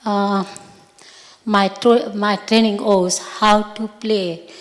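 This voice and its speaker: Speaking very slowly amid noticeable background noise, the woman leaves long, frequent pauses. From India. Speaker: audience member. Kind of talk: audience question. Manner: halting.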